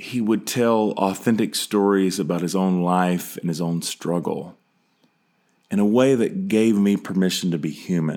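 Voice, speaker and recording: A man with a Southern US accent talks at a fairly slow pace, his pitch fairly low with ordinary variation. The recording is very clean, with a silent background. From US South, Charlotte, North Carolina. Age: 40s. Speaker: podcast host and pastor. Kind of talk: personal monologue.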